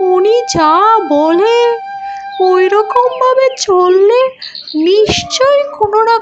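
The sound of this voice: An extremely high-pitched cartoonish character voice at a very slow pace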